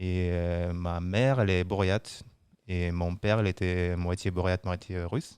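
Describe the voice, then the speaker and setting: A man with a very deep, low pitch talks at a fairly slow pace. The recording is very clean, with a silent background. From Siberia, Russia (Buryat family). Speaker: brewery quality control worker. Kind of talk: casual chat. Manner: hesitant.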